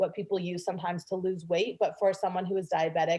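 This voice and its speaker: An American accent carries a dark, mellow tone. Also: woman. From Canada. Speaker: sex and confidence coach. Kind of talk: podcast interview.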